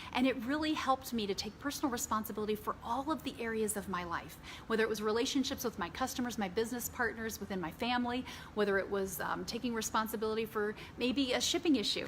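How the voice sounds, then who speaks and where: A woman speaks at a very fast pace in an animated tone. Her voice is fairly high and somewhat breathy. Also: ordinary pitch variation. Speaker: business trainer. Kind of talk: training talk.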